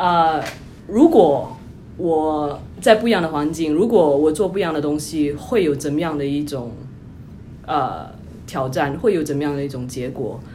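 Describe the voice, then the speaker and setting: This woman has a very deep, low voice with ordinary pitch variation and speaks at a moderate pace. Her long, frequent pauses sit in audible room echo. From Singapore. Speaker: tech company employee, former consultant. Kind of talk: interview.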